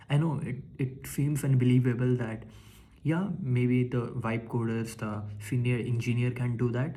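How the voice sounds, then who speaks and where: Audible room echo surrounds a man speaking in a somewhat breathy voice with fairly even intonation. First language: not English (English is third language). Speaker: tech vlogger. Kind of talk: casual monologue. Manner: halting, many fillers and restarts.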